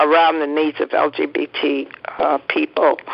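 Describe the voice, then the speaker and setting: The speech goes at a fairly slow pace while noticeable noise fills the background. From New York City (Harlem). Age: 80s+. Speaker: social worker and activist. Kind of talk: interview. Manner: halting.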